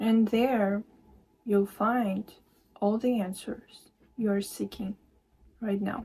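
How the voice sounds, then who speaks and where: Very slow and fairly high-pitched, a woman's somewhat breathy voice has a dark, mellow tone, monotone, flat intonation, and long, frequent pauses. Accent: non-native. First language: not English. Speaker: spiritual card reader and meditation teacher. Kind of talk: tarot-style channeled message reading. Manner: hesitant, many fillers.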